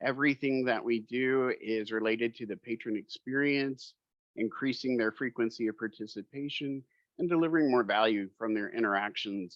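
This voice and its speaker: A man talks at a moderate pace and a medium pitch, with ordinary pitch variation. He has an unremarkable speaking voice. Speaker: marketing executive presenting a product. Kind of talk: webinar presentation.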